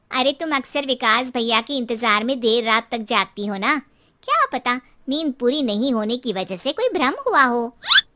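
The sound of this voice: A woman's cartoonish character voice, high in pitch, at a moderate pace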